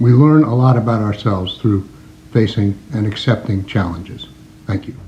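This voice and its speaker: At a moderate pace, a man speaks at a fairly low pitch with a dark, mellow, somewhat breathy tone and ordinary pitch variation. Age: 70s. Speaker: congregation elder. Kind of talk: recorded words of advice.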